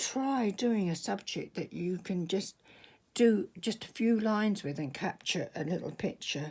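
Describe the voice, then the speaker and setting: A somewhat breathy woman's voice, fairly slow and lively in intonation, on a very clean recording with a silent background. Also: medium pitch for a woman. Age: 70s. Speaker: artist. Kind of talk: tutorial. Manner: halting.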